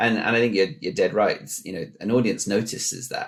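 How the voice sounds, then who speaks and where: A man speaks with a British accent. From UK. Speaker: podcast host. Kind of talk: podcast interview.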